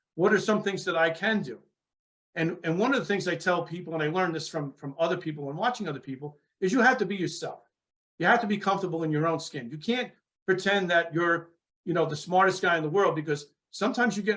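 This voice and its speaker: Talking at a very fast pace in a New York accent, a man has a high-pitched voice. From New York, Long Island. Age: 60s. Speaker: former police sergeant and author. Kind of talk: interview.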